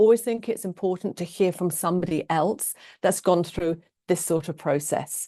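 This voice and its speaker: With a British accent, a woman talks at a moderate pace and medium pitch with ordinary pitch variation, the sound dry and close with no echo over a quiet background. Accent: very British. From England. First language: Norwegian. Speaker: love coach and transformational therapist. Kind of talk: online class / webinar talk.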